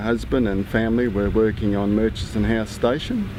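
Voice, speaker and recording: A man speaks in a fairly low pitch with an Australian accent and a monotone, flat intonation. Audible room echo and noticeable background noise surround his voice. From Western Australia, Shark Bay. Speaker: local descendant telling family history. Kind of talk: interview testimony. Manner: halting, many fillers.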